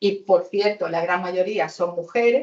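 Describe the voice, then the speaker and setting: A woman speaks at a moderate pace and medium pitch in an ordinary speaking voice. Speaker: housing activist on a panel. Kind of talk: panel debate.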